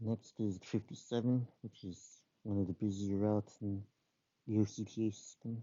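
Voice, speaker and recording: A man speaks at a moderate pace in a fairly low pitch. His intonation stays monotone and flat. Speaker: transit enthusiast explaining bus schedule changes. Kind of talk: casual explainer talk. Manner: hesitant, many filler words.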